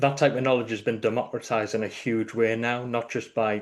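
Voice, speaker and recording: A man with a northeast English accent talks at a fairly quick pace against a quiet background. His medium-pitched voice has monotone, flat intonation. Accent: northeast English (Geordie-like), noticeable. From northeast England. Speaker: delivery manager in tech consulting. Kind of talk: live online meetup conversation.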